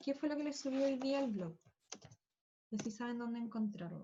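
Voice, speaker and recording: This woman's voice sits at a fairly high pitch and moves with ordinary pitch variation. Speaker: school physics teacher. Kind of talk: online class lecture. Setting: video call. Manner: fast.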